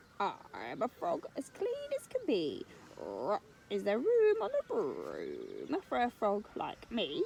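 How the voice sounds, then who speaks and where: A woman puts on a croaky character voice at an extremely high pitch, speaking at a very slow pace over clear background noise. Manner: polite, cheerful.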